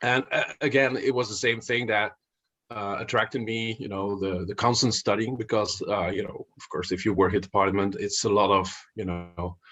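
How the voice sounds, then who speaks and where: Someone with a Flemish accent speaks at a moderate pace with fairly even intonation and big swings in loudness. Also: man, fairly low pitch for a man. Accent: Belgian Dutch (Flemish) accent in English. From Belgium (Flanders, Dutch-speaking). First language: Dutch. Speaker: investor and finance author. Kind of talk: podcast interview. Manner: halting, many fillers and repetitions.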